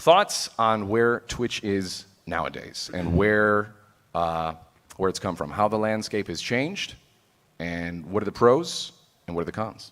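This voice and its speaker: This man's voice sits fairly low, with ordinary pitch variation. He speaks at a fairly slow pace. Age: 20s. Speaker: streamer, panel moderator. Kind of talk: panel discussion. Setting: stage with audience.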